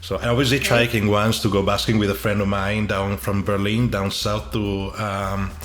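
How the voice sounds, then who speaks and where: With an Italian accent, a man talks at a fairly low pitch and a moderate pace, with fairly even intonation and hardly any pauses. Noticeable background noise and audible room echo are present. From Italy. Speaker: podcast host. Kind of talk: casual interview.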